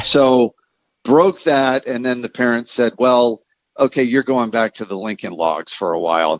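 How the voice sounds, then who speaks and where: With lively intonation at a medium pitch, a man talks at a fairly slow pace in a dry, close sound with no echo. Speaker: drummer. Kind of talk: casual interview chat. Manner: animated storytelling.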